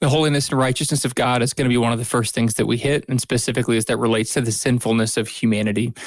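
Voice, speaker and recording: Very fast and with hardly any pauses, a man speaks in a monotone, flat intonation at very even loudness. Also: medium pitch for a man. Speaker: podcast co-host. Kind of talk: casual chat and Bible discussion.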